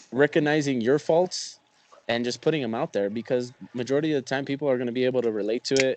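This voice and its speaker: Through noticeable background noise, a medium-pitched man speaks at a very fast pace with ordinary pitch variation. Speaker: podcast co-host. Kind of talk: casual chat. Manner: animated.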